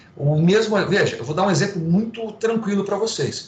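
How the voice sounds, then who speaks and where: Audible room echo and noticeable background noise surround a man whose speech has ordinary pitch variation. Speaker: law professor. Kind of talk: lecture. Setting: online class via video platform.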